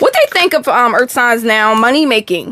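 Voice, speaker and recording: With an American accent, a woman speaks at a high pitch with lively intonation over noticeable background noise. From Texas. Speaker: tarot reader. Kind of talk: live stream tarot reading. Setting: live stream. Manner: casual, chatty.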